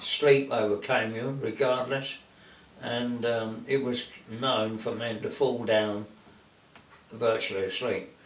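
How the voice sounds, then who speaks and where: Over noticeable background noise, a man with a British accent speaks at a very slow pace in a medium pitch. His intonation is fairly even, broken by long, frequent pauses. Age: 80s+. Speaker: war veteran. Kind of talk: interview answer.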